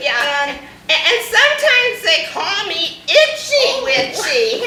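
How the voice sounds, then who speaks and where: A female-sounding put-on character voice sits at an extremely high pitch for a woman, with very wide pitch swings. She speaks at a very slow pace, with a slight echo. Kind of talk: comic overacting. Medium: stage play.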